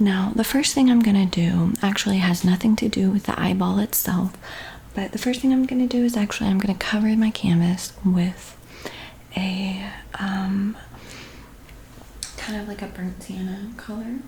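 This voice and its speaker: The tone is calm and the speaker is soft-spoken. Noticeable background noise runs under the voice. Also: moderate pace. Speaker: art tutorial teacher, painter. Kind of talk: ASMR art tutorial, soft-spoken guided painting. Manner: soft-spoken, calm.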